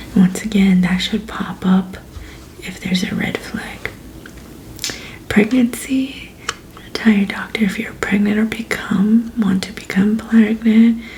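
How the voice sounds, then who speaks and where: Soft-spoken woman at a fairly high pitch, calm in tone, with fairly even intonation, a fairly slow pace, big swings in loudness and long, frequent pauses. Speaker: ASMR creator, pharmacist roleplay. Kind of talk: ASMR roleplay briefing. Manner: soft-spoken, calm.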